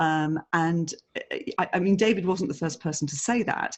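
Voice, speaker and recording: In an English accent, a woman with a fairly low pitch talks at a moderate pace. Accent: English-sounding. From England, Italian parents. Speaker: speaker bureau director. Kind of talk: podcast interview.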